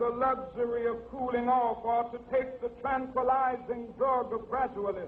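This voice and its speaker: An American accent with monotone, flat intonation at a fairly slow pace. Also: man. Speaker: civil rights leader and minister. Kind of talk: public political speech. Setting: outdoor rally with crowd, historical recording.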